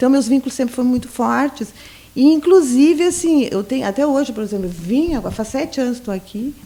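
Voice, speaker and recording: A woman's high, lively voice in a gaúcho accent. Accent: border gaúcho accent, kept, sing-song. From southern Brazil, Santa Vitória do Palmar border region. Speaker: sociologist, former university lecturer. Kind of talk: casual interview chat.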